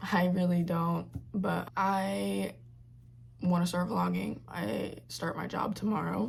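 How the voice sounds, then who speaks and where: Someone speaks at a very slow pace, with audible room echo. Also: woman. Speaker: vlogger. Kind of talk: casual vlog talk to camera. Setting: in her bedroom. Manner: casual, filler-heavy.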